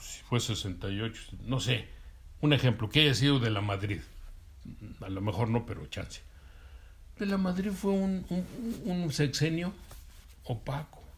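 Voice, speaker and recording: A somewhat breathy man at medium pitch, fairly slow, with very wide pitch swings, big swings in loudness and long, frequent pauses. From Mexico, Durango. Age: 60s. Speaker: interviewee, witness of 1968 student movement. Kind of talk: interview. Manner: halting, many fillers and repetitions.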